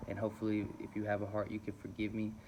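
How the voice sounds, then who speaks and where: Very fast and fairly low-pitched, a man talks over noticeable background noise. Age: 20s. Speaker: vlogger in recovery from alcoholism. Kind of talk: personal video diary, confessional. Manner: halting, many fillers.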